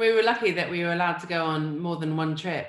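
A woman's voice with audible room echo against a quiet background. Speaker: food writer and cook. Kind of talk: interview. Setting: video call. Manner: casual, humorous. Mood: warm, reflective. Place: home room.

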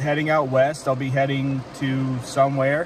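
Against noticeable background noise, a man speaks at a fairly slow pace, the sound dry with no echo. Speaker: car-living vlogger. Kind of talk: casual vlog chat. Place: car. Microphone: phone near.

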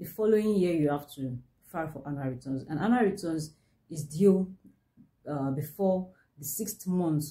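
The voice is somewhat breathy with a dark, mellow tone and ordinary pitch variation. It moves at a fairly slow pace over a quiet background. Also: woman. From Nigeria. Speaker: business consultant. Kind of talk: tutorial. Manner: halting. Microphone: phone near.

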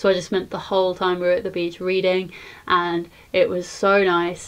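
Moderate pace and monotone, flat intonation from a woman. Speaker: vlogger. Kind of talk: casual vlog chat. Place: home room. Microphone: phone near.

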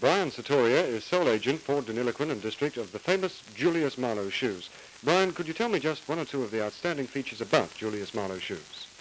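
Talking at a very fast pace with hardly any pauses, a man with an Australian accent and medium pitch sounds upbeat, his pitch swinging very widely. Noticeable background noise runs underneath. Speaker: commercial presenter. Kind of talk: vintage TV commercial, polished salesman patter. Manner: smooth, upbeat, hard-sell.

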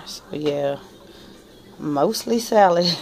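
Over light background noise, a woman talks in a fairly low pitch. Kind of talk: casual vlog chat. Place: home room. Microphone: phone near.

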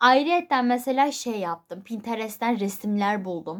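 A normal speaking voice with ordinary pitch variation at a moderate pace. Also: woman. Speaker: YouTuber. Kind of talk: casual vlog talk.

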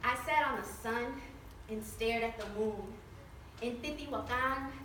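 A woman with an American accent speaks with audible room echo and noticeable background noise. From Mexican American. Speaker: motivational speaker. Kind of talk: spoken word poetry performance. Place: hall. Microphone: camera far.

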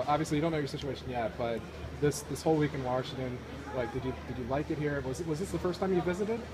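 Speech at a very fast pace, with noticeable background noise behind it. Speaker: sports blogger interviewer. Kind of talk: interview. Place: hall. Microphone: phone near.

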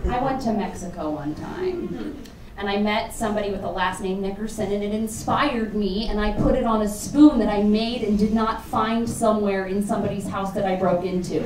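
A woman talks with hardly any pauses and ordinary pitch variation over noticeable background noise. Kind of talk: sketch comedy monologue to audience. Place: stage.

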